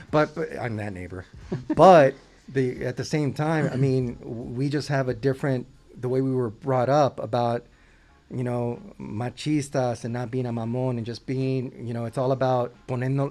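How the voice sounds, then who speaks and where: This man's pitch sits in the medium range. He keeps a moderate pace and fairly even intonation. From Southern California. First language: Spanish. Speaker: company co-founder. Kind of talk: casual chat.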